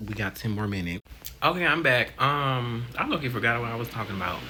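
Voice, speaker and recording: A man speaks in an animated tone. Music plays in the background. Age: 20s. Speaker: vlogger. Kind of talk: casual vlog monologue. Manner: halting.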